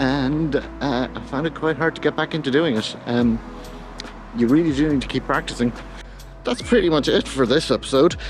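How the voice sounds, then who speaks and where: A man with a slight Irish accent, relaxed in tone, with ordinary pitch variation and music in the background. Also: medium pitch for a man, moderate pace. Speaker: photography vlogger. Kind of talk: casual vlog talk to camera. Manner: relaxed, hesitant with fillers.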